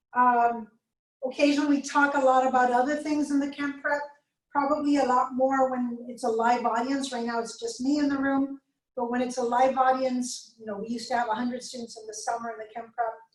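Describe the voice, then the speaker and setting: A woman with a slight Spanish accent, high-pitched, fairly quick, flat and monotone in intonation, with big swings in loudness. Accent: slight Spanish accent on some words. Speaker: chemistry lecturer. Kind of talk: lecture. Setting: video call recording, alone in room. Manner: fast.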